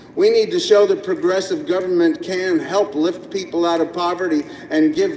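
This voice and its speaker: With noticeable background noise behind him, a man speaks at a moderate pace with hardly any pauses. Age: 60s. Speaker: street protester and activist. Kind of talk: live street monologue. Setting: outdoors on a pedestrian promenade.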